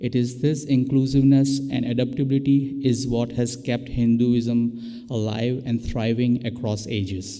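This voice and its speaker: With a non-native accent, a man talks at a fairly slow pace, hardly pausing, in a monotone, flat intonation. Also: medium pitch for a man. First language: not English. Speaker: interfaith guest speaker. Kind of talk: prepared talk. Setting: church with live stream.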